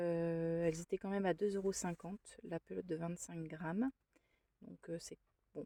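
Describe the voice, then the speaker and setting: At a moderate pace with long, frequent pauses, a woman speaks at a fairly low pitch with fairly even intonation and big swings in loudness, the sound dry and close with no echo. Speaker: craft vlogger. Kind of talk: casual vlog. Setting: in a car. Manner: hesitant.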